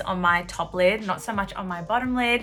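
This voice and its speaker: A woman speaks at a moderate pace with a medium pitch. Music plays in the background. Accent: Australian. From Australia. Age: 20s. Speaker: beauty YouTuber. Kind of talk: makeup tutorial talk to camera. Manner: upbeat, bubbly.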